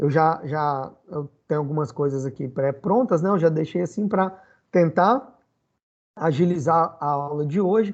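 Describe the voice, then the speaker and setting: A man speaks in a normal speaking voice at a fairly slow pace, his fairly high pitch moving with lively intonation over a quiet background. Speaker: physics teacher. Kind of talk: online lecture.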